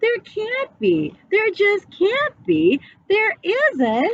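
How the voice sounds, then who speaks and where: A woman's squeaky, put-on character voice, extremely high in pitch, with very wide pitch swings and a very slow pace. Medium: read story. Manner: gentle, soothing.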